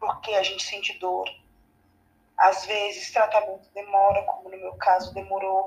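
Her loudness shifts in big swings. The woman keeps a moderate pace. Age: 20s. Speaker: cancer patient. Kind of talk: testimony.

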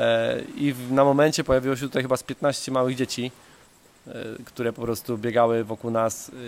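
A man talks fairly quickly, his intonation monotone and flat throughout. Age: 30s. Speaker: travel podcaster. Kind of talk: casual monologue. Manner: repeats words often.

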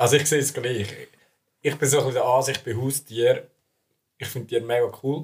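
Talking at a fairly quick pace with long, frequent pauses, a man sounds somewhat breathy, with a fairly high pitch and fairly even intonation. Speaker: student podcast co-host. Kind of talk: casual chat.

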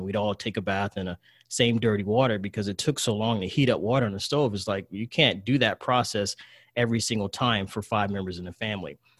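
A man with an American accent speaks at a fairly quick pace in an ordinary speaking voice, his fairly low pitch and fairly even intonation captured in a very clean recording with a silent background and a dry, close sound with no echo. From US South, rural Virginia. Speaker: investor and trader. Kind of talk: interview.

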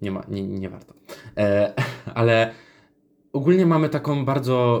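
A man is talking here, his pitch medium. The pace is moderate. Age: 20s. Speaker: podcaster and psychology student. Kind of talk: casual monologue. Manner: halting, many fillers.

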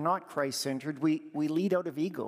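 A normal speaking voice with a Canadian accent and ordinary pitch variation, on a very clean recording with a silent background. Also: man. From Alberta, Canada. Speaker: church district leader. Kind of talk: sermon. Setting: church.

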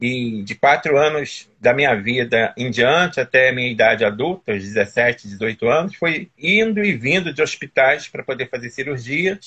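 A man's normal speaking voice at medium pitch, fairly slow yet with hardly any pauses, and with lively intonation. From Teresópolis, Rio de Janeiro state, Brazil. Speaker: nurse and former municipal health official. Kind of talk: interview on a live stream.

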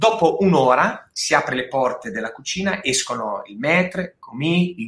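A man's bright, sharp voice, fairly high in pitch, at a moderate pace. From Marche, Italy. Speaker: food and wine producer/restaurateur. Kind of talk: casual interview chat. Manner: animated.

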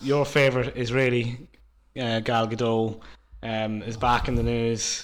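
In a room with audible echo, a man with an Irish accent speaks at a fairly slow pace and medium pitch, his intonation monotone and flat. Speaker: podcast co-host. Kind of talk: casual chat.

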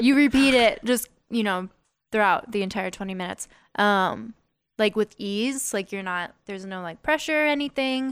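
A woman speaks in a plain, everyday voice at a moderate pace, her pitch fairly high with ordinary variation. Her loudness swings widely. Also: very clean recording, silent background. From Las Vegas, US. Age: 20s. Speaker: singer-songwriter. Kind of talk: casual podcast interview. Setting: studio.

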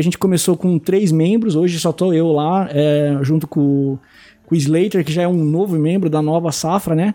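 A man's high-pitched voice at a moderate pace, with ordinary pitch variation, very even loudness and music in the background. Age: 30s. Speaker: card game content creator. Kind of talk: casual chat.

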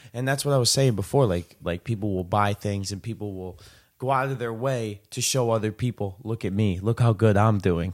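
An ordinary speaking voice comes from a man with a fairly low pitch and ordinary pitch variation, moving at a fairly quick pace. The recording is very clean, with a silent background. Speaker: podcast host. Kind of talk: casual interview chat.

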